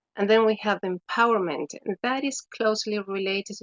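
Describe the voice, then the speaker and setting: A woman with a Spanish accent and fairly even intonation. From Chile. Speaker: education specialist. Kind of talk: webinar presentation. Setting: online webinar.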